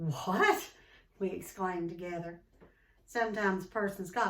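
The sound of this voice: An unforced reading voice carries the clip.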